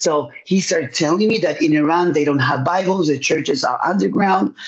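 A man speaks with a Spanish accent in a high voice. His pace is moderate and his pitch variation ordinary. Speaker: pastor and evangelist. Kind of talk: testimony.

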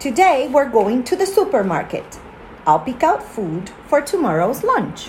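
A woman's high, warm voice with very wide pitch swings at a fairly slow pace, music in the background. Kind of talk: children's audiobook read-aloud, storybook narration. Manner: warm, friendly, simple and clear, aimed at young listeners.

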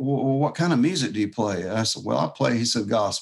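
This is a man speaking. He talks with a Southern US accent. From US South, Jacksonville, Florida. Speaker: fingerstyle guitarist. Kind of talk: casual chat.

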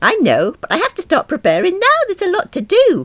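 In a put-on character voice, a woman sounds squeaky at an extremely high pitch. She talks at a fairly quick pace with very wide pitch swings.

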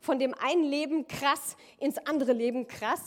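High-pitched female voice with ordinary pitch variation amid noticeable background noise. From Rhineland-Palatinate, near Koblenz. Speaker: church leader, pastor's wife. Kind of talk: sermon.

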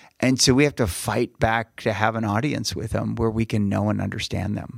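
With vocal fry and a medium pitch, a man talks at a moderate pace in a dry, close recording with no echo. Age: 50s. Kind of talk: casual chat.

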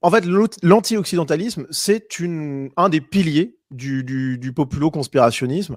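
Speaking at a fairly slow pace, a man with a fairly high pitch has an ordinary speaking voice and ordinary pitch variation. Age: 30s. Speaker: YouTube political commentator. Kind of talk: debate interview.

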